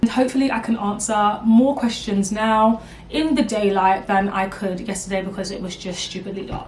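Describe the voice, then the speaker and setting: A woman at medium pitch and a moderate pace, hardly any pauses, fairly even intonation, big swings in loudness, and noticeable background noise. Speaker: beauty YouTuber. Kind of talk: casual vlog Q&A.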